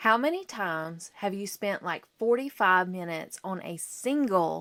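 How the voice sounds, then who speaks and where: A woman at a medium pitch on a very clean recording with a silent background. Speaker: therapist and podcast host. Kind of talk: solo podcast talk. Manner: slow; casual, chatty.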